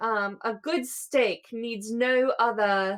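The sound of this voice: A woman speaks at a slow pace with a fairly high pitch and fairly even intonation.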